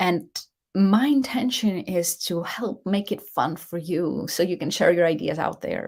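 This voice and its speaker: This woman has a fairly low pitch and a non-native accent. Her intonation is lively. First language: not English. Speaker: leadership coach and show host. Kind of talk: live show monologue. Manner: halting, with false starts.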